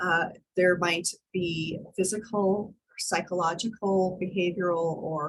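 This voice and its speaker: A woman with a fairly low, somewhat breathy voice speaks at a fairly slow pace with fairly even intonation. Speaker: college instructor. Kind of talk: online class lecture.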